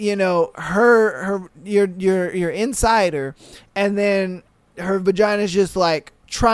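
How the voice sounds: The intonation stays fairly even. Throughout, it is a natural reading voice.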